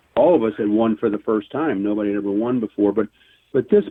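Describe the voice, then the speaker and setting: A man speaks at a very fast pace. His pitch is fairly low, with ordinary pitch variation. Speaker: former baseball player and author. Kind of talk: interview. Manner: halting, many repeated words.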